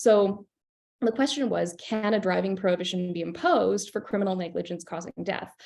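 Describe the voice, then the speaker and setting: A woman talks at a fairly quick pace with a Canadian accent. Her voice carries vocal fry. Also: medium pitch for a woman, ordinary pitch variation. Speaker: criminal defence lawyer, panelist. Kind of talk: legal panel presentation. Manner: fast; casual, animated.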